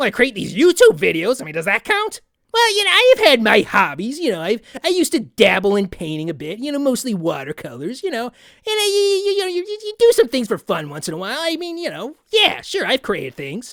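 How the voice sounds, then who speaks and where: A cartoonish character voice, fairly high in pitch and fairly quick in pace. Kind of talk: comedic parody interview answers to camera. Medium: puppet. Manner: casual, sarcastic.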